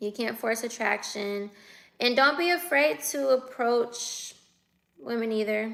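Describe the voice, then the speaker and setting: With an American accent, a woman speaks at a high pitch and fairly slow pace with lively intonation. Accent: West Coast US, sounds like the Bay Area. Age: 20s. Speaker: livestreamer. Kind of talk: casual livestream chat reading viewer comments. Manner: casual, conversational.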